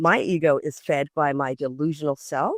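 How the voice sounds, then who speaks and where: A woman speaks in an animated tone. The sound is dry and close, with no echo. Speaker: radio host. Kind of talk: casual chat.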